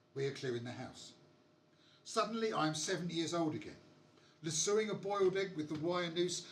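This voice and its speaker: A man talks at a fairly quick pace in a high-pitched voice. Audible room echo surrounds his speech. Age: 60s. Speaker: punk poet and musician. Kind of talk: poetry performance; casual chat between poems.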